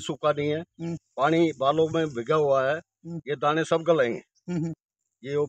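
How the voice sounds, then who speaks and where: The delivery is very slow and monotone, with flat intonation. The sound is dry with no echo, over a quiet background. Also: man. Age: 70s. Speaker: farmer. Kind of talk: interview. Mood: worried, resigned. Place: farm.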